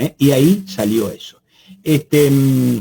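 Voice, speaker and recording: A man speaks in a fairly high pitch with a dark, mellow tone. His voice is somewhat breathy. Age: 70s. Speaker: biosafety expert, lecturer. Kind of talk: webinar Q&A.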